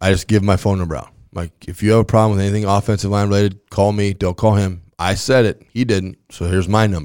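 In an American accent, a man speaks at a very fast pace with a fairly low pitch. The recording is very clean, with a silent background. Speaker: high school football coach. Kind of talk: casual chat. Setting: studio. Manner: loud.

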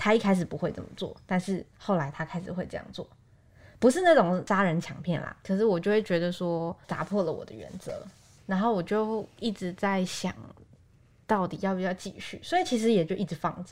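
In a very clean recording with a silent background, a woman with an unremarkable speaking voice talks at a fairly quick pace. Her pitch is medium with ordinary variation, while her loudness swings widely. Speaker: podcast co-host, news reporter. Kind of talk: casual chat.

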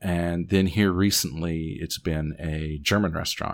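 With an Appalachian accent, a man speaks at a fairly slow pace with a very deep, low pitch and fairly even intonation. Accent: Southern Appalachian US. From Southwest Virginia. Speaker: podcast host guest. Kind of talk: casual chat, storytelling. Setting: remote recording.

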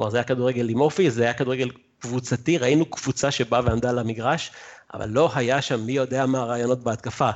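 A man talks in a normal speaking voice with fairly even intonation. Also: medium pitch for a man, fairly quick pace. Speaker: football fan guest. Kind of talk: casual chat. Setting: video call.

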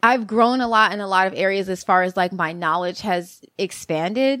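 A woman's medium-pitched voice with ordinary pitch variation, a normal speaking voice, in a dry, close sound with no echo and a very clean recording with a silent background. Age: 20s. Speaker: sex worker and independent scholar. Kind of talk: casual interview.

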